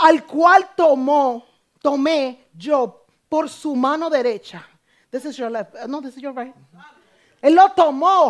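A woman's high voice at a very slow pace, with long, frequent pauses, big swings in loudness, ordinary pitch variation and a quiet background. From Dominican Republic. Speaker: preacher. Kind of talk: sermon. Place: church.

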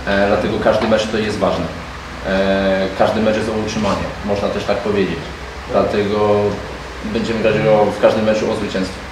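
A man talks in a Polish accent. Noticeable background noise and audible room echo fill the recording. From Poland. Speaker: club official at football press conference. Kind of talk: press conference. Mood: calm, measured. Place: meeting room.

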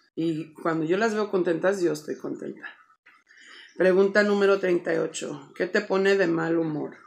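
She talks at a fairly slow pace, her intonation fairly even. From Chicago, US Midwest, Mexican-American family. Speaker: vlogger. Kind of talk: casual vlog, Q&A tag. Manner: casual, filler-heavy with English code-switching. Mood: relaxed, friendly, a bit shy. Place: home room.

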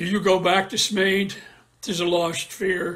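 This man has a high pitch and a monotone, flat intonation. He talks at a fairly slow pace. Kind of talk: Shakespearean verse reading. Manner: brooding, anguished, solemn.

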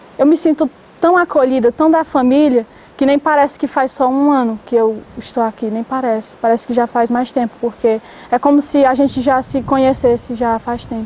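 A woman's high-pitched voice in a dark, mellow tone, at a moderate pace with fairly even intonation, dry with no echo, over light background noise. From Ceará, Brazil (Granja, sertão). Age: 20s. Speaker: novice nun. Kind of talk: testimony. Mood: calm, warm testimony. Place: garden. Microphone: lapel.

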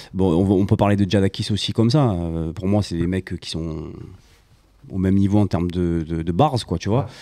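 A man's very deep, low pitch and dark, mellow tone, with ordinary pitch variation over a quiet background. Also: moderate pace. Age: 40s. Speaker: beatmaker and sound engineer; guest. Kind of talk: casual chat. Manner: halting. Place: home room. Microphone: handheld.

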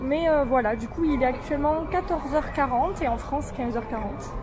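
A woman speaks at a fairly slow pace. There is noticeable noise in the background. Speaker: travel vlogger. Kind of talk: casual vlog chat. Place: station. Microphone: phone near.

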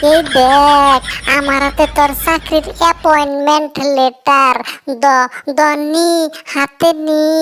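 This is a cartoonish character voice with a high pitch. It moves at a fairly slow pace. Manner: loud, earthy, colorful insults.

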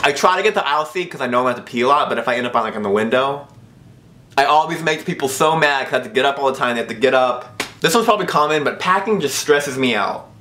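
The man's pace is very fast. Lively intonation runs through his speech. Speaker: vlogger. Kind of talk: casual vlog chat. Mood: mock-complaining, humorous. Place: home room.

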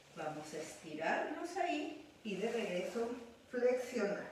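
A woman talks at a very slow pace. Light background noise and strong room echo are audible. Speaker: pilates instructor. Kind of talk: exercise class instruction. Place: home room. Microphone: camera far.

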